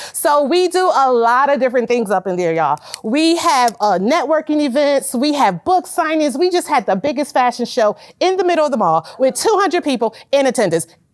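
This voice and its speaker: With an animated tone and very wide pitch swings, a woman speaks fairly quickly in a high pitch with hardly any pauses over noticeable background noise. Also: very even loudness. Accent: American. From US Northeast, Hartford, Connecticut. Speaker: entrepreneur and community leader. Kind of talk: testimony.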